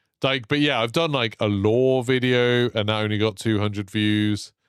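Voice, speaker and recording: A man speaks with a British accent at a moderate pace. His pitch is fairly low, with ordinary variation. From Britain. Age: 30s. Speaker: streamer, former teacher. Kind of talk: casual livestream chat.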